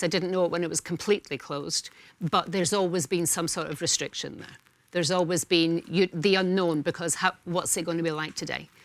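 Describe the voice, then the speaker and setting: A woman with a Scottish accent speaks at a very fast pace with a fairly low pitch. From Scotland. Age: 60s. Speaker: talk show panelist. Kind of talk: casual chat. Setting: studio.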